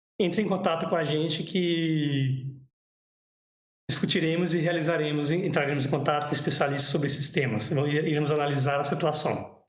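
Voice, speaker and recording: A man's fairly high voice at very even loudness, with audible room echo. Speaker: cave biologist presenting a livestream. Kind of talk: livestream talk with Q&A. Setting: home livestream. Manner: fast.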